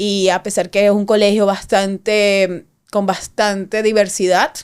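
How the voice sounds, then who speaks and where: A woman's medium-pitched voice stays monotone and flat on a very clean recording with a silent background. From Venezuela. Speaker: cybersecurity expert and businesswoman. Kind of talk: casual interview chat. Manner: halting, many false starts.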